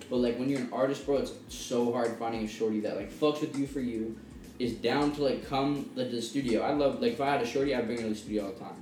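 Noticeable background noise surrounds a man speaking at a very fast pace. His pitch is medium and his intonation fairly even. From British Columbia, Canada. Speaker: young rapper. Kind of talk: casual chat.

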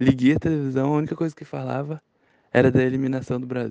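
A man with a Brazilian accent speaks in a dark, mellow tone with ordinary pitch variation. The sound is dry and close, with no echo. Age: 20s. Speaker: interviewee sharing a memory. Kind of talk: personal storytelling.

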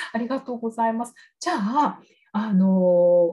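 A woman with a plain, everyday voice speaks at a moderate pace, her fairly high pitch carried by lively intonation. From Oita, Kyushu, Japan. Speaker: English speaking coach and podcast host. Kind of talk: interview.

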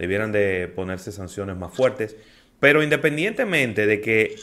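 Speaking at a moderate pace, a man has a fairly low pitch and a bright, sharp tone. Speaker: radio host. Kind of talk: radio talk show, casual discussion. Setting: radio studio.

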